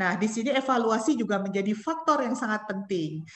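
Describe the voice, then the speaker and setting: Her voice fairly high in pitch, a woman speaks with lively intonation. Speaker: company representative. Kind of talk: webinar presentation. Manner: hesitant, many fillers.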